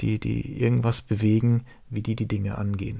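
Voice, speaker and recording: A normal speaking voice from a man, fairly low in pitch with ordinary pitch variation, at a fairly slow pace on a very clean recording with a silent background. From southern Baden, Rheinfelden near Basel. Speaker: podcast co-host. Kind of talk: casual chat.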